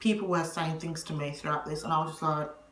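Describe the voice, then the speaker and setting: Over noticeable background noise and audible room echo, a woman speaks at a very deep, low pitch with fairly even intonation. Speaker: vlogger. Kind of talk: advice vlog. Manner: loud.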